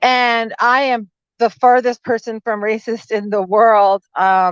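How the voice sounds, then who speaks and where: A woman with a fairly high pitch speaks in an animated tone, recorded dry and close with no echo. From Italian-American background. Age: 40s. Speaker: lawyer and small business consultant. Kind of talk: casual chat. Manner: loud.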